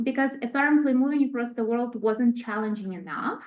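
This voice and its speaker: The speaker is a woman with a Ukrainian accent. Her voice is high, with ordinary pitch variation. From Ukraine. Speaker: international research specialist. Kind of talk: presentation. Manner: halting.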